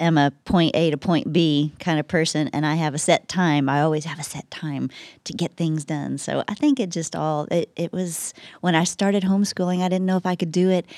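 A woman with a Texas accent at a fairly low pitch, with ordinary pitch variation and a moderate pace, in a very clean, dry, close recording with no echo and a silent background. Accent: Texas Southern. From West Texas. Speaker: church communications staff member. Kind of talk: casual chat.

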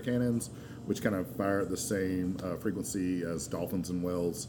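At a moderate pace, a man with an American accent speaks with fairly even intonation in audible room echo. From North Carolina (Asheville). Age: 40s. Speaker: beer sales rep. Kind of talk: casual chat. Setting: live recording at a bottle shop.

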